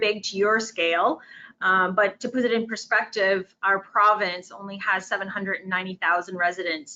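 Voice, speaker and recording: This woman speaks at a moderate pace in a medium pitch, her intonation fairly even. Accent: French. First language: French. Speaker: tourism official. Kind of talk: conference presentation. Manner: halting.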